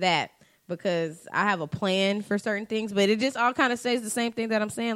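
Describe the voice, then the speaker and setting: A woman's normal speaking voice, fairly high in pitch, at a fairly quick pace with ordinary pitch variation. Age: 20s. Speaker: podcast co-host. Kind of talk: casual chat.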